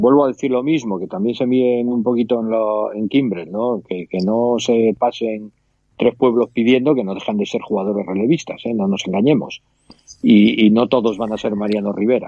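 A plain, everyday voice from a man at a medium pitch, with fairly even intonation and a moderate pace. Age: 50s. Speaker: baseball podcast co-host. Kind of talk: casual chat.

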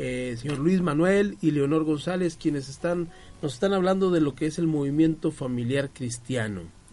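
A man's fairly high-pitched voice, dark and mellow in tone, with ordinary pitch variation. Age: 40s. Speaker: radio host. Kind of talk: casual chat. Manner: halting.

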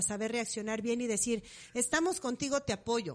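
Against a quiet background, a woman talks at a fairly quick pace in a high pitch, with an animated tone and ordinary pitch variation. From Mexico, Morelia. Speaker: podcast co-host. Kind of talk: casual chat.

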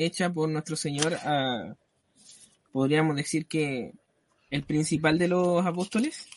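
Very slowly, a man speaks in a high voice with ordinary pitch variation. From Chile. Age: 20s. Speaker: church deacon. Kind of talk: religious talk show discussion.

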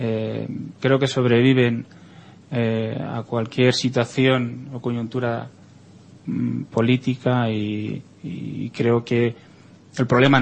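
The man's intonation stays monotone and flat. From Spain. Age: 40s. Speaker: writer. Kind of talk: interview. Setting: studio.

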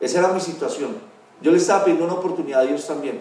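Lively intonation marks a man's speech, with noticeable background noise and audible room echo. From Colombia, Dosquebradas (Risaralda). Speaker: network marketing executive. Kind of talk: motivational life-story talk.

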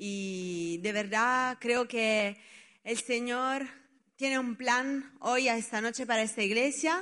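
A woman speaks with a high pitch and ordinary pitch variation. Her tone is bright and sharp. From Italy. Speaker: children's ministry worker. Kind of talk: testimony.

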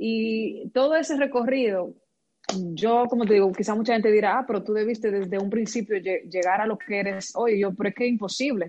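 Using a plain, everyday voice, a woman speaks at a fairly quick pace. Her fairly high pitch shows ordinary variation. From Dominican Republic, Moca. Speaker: musician. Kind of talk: interview.

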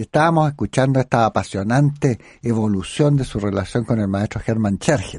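A plain, everyday voice: a man at medium pitch, fairly quick pace and lively intonation, against a quiet background. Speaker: radio host and academic. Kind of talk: radio interview. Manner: formal.

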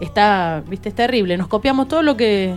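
Music plays in the background as a woman speaks. Her pitch is fairly high and her intonation lively. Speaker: folk singer. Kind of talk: radio interview.

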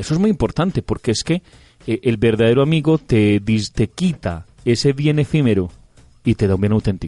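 Keeping a moderate pace, a man speaks at a medium pitch with a dark, mellow tone. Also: lively intonation, very even loudness, dry, close sound with no echo. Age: 30s. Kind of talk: radio reflection chat.

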